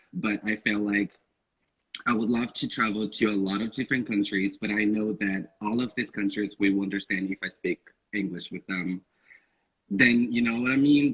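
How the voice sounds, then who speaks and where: This man has a Portuguese accent, a fairly low pitch and fairly even intonation. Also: moderate pace. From Northeast Brazil. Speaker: podcast guest. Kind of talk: casual chat.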